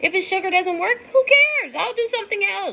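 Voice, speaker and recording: Raising and projecting her voice, a woman speaks at an extremely high pitch in an animated tone at a moderate pace. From US West Coast, East Oakland, California. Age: 40s. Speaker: weight-loss vlogger. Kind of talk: casual vlog monologue, rant.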